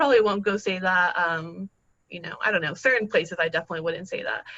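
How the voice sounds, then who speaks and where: Speaking at a very fast pace, a woman has a medium pitch and ordinary pitch variation. Her tone is bright and sharp. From Mexico, Tamaulipas border region, raised in Oklahoma City. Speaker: policy communications worker and immigrant activist. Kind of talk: personal testimony and Q&A on a group call. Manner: halting, many fillers and repeated words.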